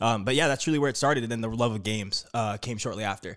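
Speaking at a very fast pace, a man with an American accent has a fairly low voice. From Arizona, Phoenix. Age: 20s. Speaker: young tech entrepreneur. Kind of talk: casual chat.

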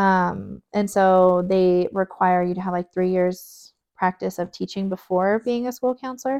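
With a Spanish accent, a woman talks at a medium pitch, recorded with a dry, close sound and no echo against a quiet background. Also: fairly even intonation, fairly slow pace. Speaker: photographer. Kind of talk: casual chat.

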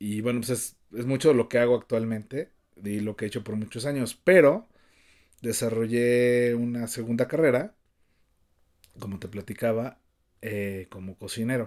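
The speaker has a Mexico City accent and a fairly slow pace, with long, frequent pauses. Pitch varies in an ordinary way while loudness swings widely. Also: man, medium pitch for a man. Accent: Mexico City Spanish (chilango). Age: 50s. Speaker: podcast co-host, cook. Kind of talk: casual chat.

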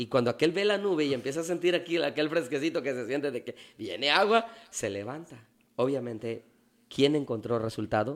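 A man speaks in a plain, everyday voice at a fairly high pitch. His intonation is lively and his pace fairly quick. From Mexico, Veracruz port. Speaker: pastor. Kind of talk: casual interview.

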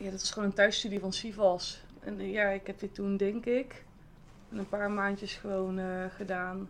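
A woman's monotone, flat delivery at medium pitch and a fairly slow pace. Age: 20s. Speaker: hypnotherapist. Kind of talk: casual chat.

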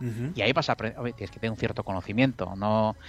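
A man talking at a very fast pace, with music in the background. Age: 50s. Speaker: professional trader. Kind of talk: casual chat.

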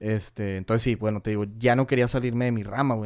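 This man talks at a very fast pace in a medium pitch. The recording is very clean, with a silent background. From northern Mexico, Cadereyta, Nuevo León. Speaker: manufacturing engineer. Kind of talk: casual chat.

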